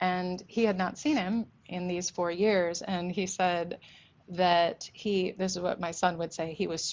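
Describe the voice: The speaker reads aloud plainly, keeping the intonation fairly even.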